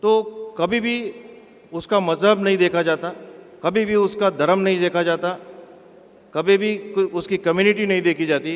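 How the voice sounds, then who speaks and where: A man speaks in a high pitch with fairly even intonation, leaving long, frequent pauses. Noticeable background noise runs underneath. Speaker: bank chief executive. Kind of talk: public speech. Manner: halting.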